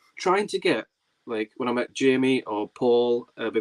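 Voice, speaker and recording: The recording sounds dry and close with no echo, capturing a man speaking at a medium pitch. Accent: Geordie. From northern England, Tyneside (Whitley Bay/North Shields). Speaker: film YouTuber and livestream host. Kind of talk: casual chat. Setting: livestream. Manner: fast.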